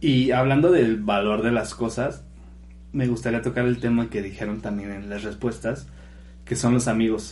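A man with a medium-pitched, somewhat breathy voice speaks at a moderate pace with ordinary pitch variation, and some room echo can be heard. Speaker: podcast co-host. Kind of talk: casual chat.

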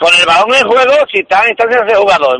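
With a raised, projected voice and lively intonation, a man speaks in a dry, close recording with no echo. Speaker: caller, football fan. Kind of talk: casual call-in chat. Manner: halting.

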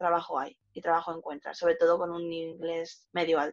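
A woman's fairly low-pitched voice. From Spain, small village in Burgos province. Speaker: youth leisure monitor and traveller. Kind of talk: interview.

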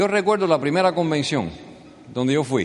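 A man's fairly high voice with lively intonation. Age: 50s. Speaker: business speaker. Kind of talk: motivational speech. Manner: animated.

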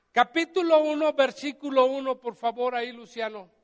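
The sound is dry and close with no echo as a man talks at a moderate pace with ordinary pitch variation. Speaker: pastor. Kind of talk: sermon.

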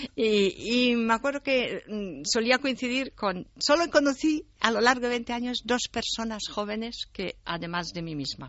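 This woman has a plain, everyday voice pitched fairly high. She talks at a fairly slow pace with lively intonation. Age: 60s. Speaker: writer and translator. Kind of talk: interview.

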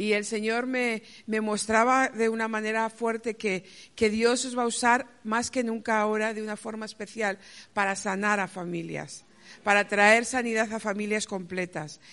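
A woman speaks in a Castilian accent at a fairly high pitch and a moderate pace. Her intonation is fairly even against a quiet background. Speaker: pastor. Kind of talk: testimony. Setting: church.

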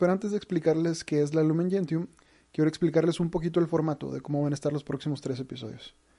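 Fairly high in pitch, this man's voice has a dark, mellow tone and fairly even intonation. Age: 20s. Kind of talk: religious teaching talk.

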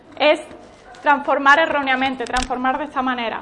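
A woman's high voice in an animated tone, with noticeable background noise. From Spain, Málaga. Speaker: church workshop leader. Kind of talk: workshop teaching.

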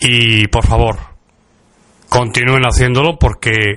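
In a Castilian accent, a man speaks at a medium pitch with fairly even intonation and a bright, sharp tone. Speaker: radio host. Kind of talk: podcast monologue.

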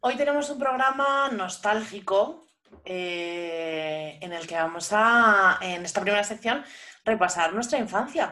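Very slowly, a woman speaks in a bright, sharp tone with lively intonation. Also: medium pitch for a woman, big swings in loudness. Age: 30s. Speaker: podcast host and language teacher. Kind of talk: casual chat.

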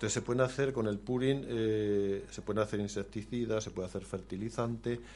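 A man speaks with a plain, everyday voice at a moderate pace. His pitch is fairly low and his intonation fairly even. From Spain, Aragón (Zaragoza province). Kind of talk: radio interview.

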